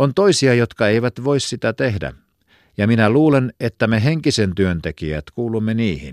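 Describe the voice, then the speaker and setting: With a serious tone and very wide pitch swings, a man at medium pitch speaks in a very clean, dry, close recording with no echo and a silent background. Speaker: audiobook reader. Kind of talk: literary audiobook reading of a 1917 newspaper essay, solemn and measured. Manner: formal, steady and deliberate, serious.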